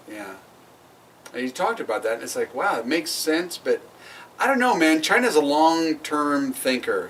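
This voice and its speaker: Over noticeable background noise, a man with a fairly high voice speaks with very wide pitch swings and long, frequent pauses. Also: moderate pace, big swings in loudness. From Oregon, US. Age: 50s. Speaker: podcast co-host. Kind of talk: casual chat.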